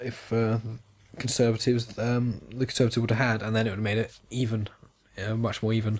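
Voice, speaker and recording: Sounding tired, a man talks at a moderate pace and medium pitch. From England. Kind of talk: casual podcast conversation. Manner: tired, low-energy.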